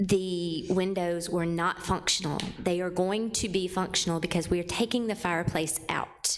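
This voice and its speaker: A woman speaks at a medium pitch. Her pace is fairly slow. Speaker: construction company representative. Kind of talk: public meeting testimony. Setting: public commission meeting. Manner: quiet.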